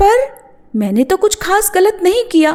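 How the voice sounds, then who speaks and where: A woman's squeaky put-on character voice, extremely high in pitch with lively intonation, at a moderate pace. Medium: read story.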